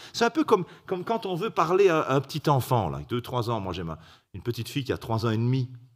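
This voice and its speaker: Very wide pitch swings mark this voice as it races along at a very fast pace. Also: man, medium pitch for a man. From Belgium. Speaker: preacher. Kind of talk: sermon. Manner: halting.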